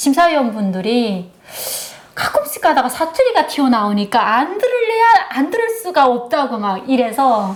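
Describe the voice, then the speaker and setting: A woman with a slight North Hamgyong accent, high pitch, very wide pitch swings and a moderate pace, over noticeable background noise. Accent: slight Hoeryong dialect. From North Korea, North Hamgyong (Hoeryong). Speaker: North Korean defector, instructor. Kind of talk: casual chat.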